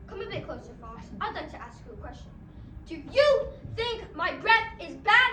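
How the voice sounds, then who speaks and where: An extremely high, put-on character voice speaks at a moderate pace. There is a slight echo and clear background noise. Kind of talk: school play acting. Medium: stage play.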